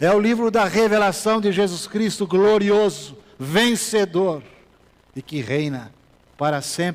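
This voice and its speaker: A man's high-pitched voice at a very slow pace, with ordinary pitch variation and long, frequent pauses. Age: 60s. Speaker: pastor. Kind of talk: sermon. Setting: church.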